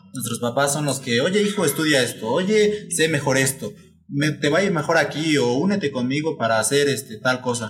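Lively intonation from a fairly high-pitched man at a moderate pace, with noticeable background noise. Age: 19. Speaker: new podcast member, engineering student. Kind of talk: casual chat.

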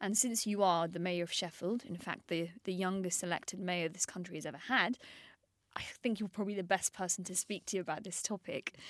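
With a London accent, a woman talks at a fairly quick pace, her medium pitch showing ordinary variation. The sound is dry and close with no echo, in a very clean recording with a silent background. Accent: London English, heard as middle class. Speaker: journalist. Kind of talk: field interview and studio discussion.

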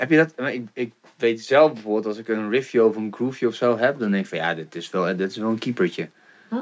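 A man at a medium pitch, lively in intonation and fairly quick in pace. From Groningen, Netherlands. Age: 30s. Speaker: podcast host. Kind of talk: casual interview chat. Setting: studio. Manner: animated, many fillers.

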